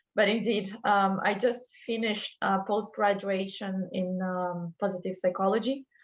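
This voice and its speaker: Over a quiet background, a woman with a Brazilian accent speaks at a fairly slow pace and a medium pitch, her intonation monotone and flat. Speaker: culture and wellbeing consultant. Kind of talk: interview podcast.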